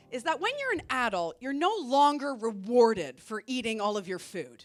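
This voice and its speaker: A woman's high-pitched voice with lively intonation at a moderate pace. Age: 40s. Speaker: stand-up comedian. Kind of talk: stand-up comedy set to a live audience.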